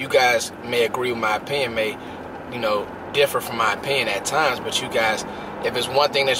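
A man at a fairly quick pace, dry sound with no echo, with noticeable background noise. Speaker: sports vlogger. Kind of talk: casual vlog chat. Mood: warm, grateful, casual. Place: car. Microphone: phone near.

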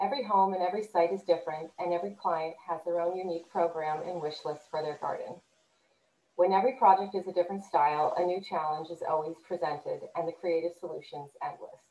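Very fast speech with ordinary pitch variation and audible room echo. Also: woman, fairly low pitch for a woman. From New Jersey. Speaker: landscape architect. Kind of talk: scripted presentation. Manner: read from script. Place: home room. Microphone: webcam.

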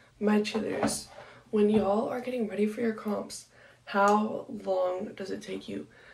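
A woman speaks at a moderate pace. Her voice is somewhat breathy. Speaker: cheerleader vlogger. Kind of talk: casual vlog chat. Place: home room.

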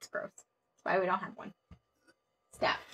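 A woman is speaking. Her tone is playful. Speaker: board game player. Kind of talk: live board game play. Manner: playful, laughs often. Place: home room.

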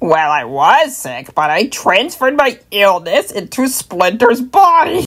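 This put-on character voice swings very widely in pitch. It moves fairly slowly, with hardly any pauses. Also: woman, fairly high pitch for a woman. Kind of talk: comic overacting. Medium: fan dub.

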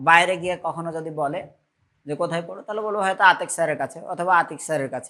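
A man's voice is heard. It has a bright, sharp tone. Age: middle-aged. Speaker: physics teacher. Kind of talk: lecture. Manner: conversational, frequent checking questions.

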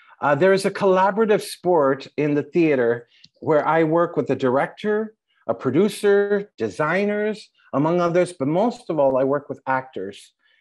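Lively intonation from a man with a high pitch. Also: moderate pace, quiet background. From Los Angeles. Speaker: playwright; panelist. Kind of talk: panel talk. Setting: video call. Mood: reflective, animated. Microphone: earbuds.

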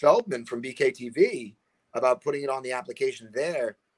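The background is quiet. A man speaks in an American accent. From Boston. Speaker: combat sports promoter. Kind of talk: casual chat. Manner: animated. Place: home room. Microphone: video call.

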